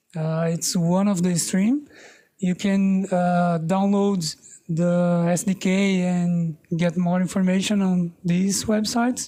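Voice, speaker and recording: Speaking very slowly with a non-native accent, a woman has a dark, mellow tone, medium pitch, fairly even intonation and very even loudness. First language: not English. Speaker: meetup presenter, developer. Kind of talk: tech talk presentation. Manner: halting, many fillers.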